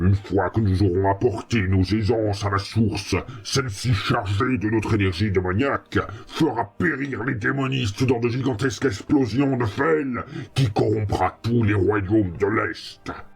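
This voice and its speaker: Using a menacing put-on character voice, a man speaks at a fairly low pitch and a moderate pace. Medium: machinima. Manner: menacing, haughty.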